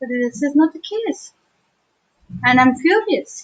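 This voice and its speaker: A woman at a fairly slow pace, in an Indian accent, with very wide pitch swings. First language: Hindi. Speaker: teacher. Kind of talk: livestream talk.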